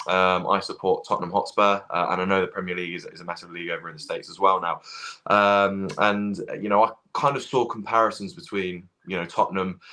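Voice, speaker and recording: A man's very fast speech, fairly low in pitch, with a bright, sharp tone and ordinary pitch variation. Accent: British. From England. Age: 20s. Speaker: football fan. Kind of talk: casual chat. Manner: halting.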